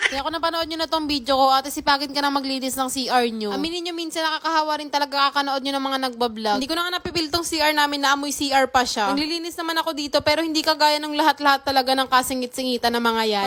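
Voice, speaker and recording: Over noticeable background noise, a high-pitched woman speaks at a very fast pace with hardly any pauses and ordinary pitch variation. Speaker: vlogger. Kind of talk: vlog voice-over. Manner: casual, unscripted. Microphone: no microphone, speaks into speaker.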